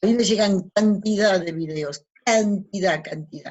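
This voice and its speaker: At a fairly slow pace, a woman with an Argentine accent speaks somewhat breathily at medium pitch with ordinary pitch variation. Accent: Argentine Spanish (Rioplatense). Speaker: radio host / spiritual talk host. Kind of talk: casual monologue.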